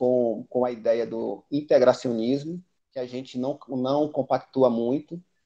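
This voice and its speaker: A man talks at a fairly slow pace. His medium-pitched voice has a dark, mellow tone. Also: quiet background. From Bahia, Brazil. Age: 40s. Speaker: history teacher and capoeira master, activist. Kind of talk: panel debate. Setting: live stream.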